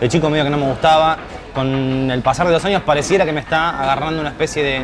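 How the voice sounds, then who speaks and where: Noticeable background noise sits behind a man who speaks very fast. His intonation stays fairly even. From Buenos Aires, Argentina. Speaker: food reviewer. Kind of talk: casual food-tasting commentary.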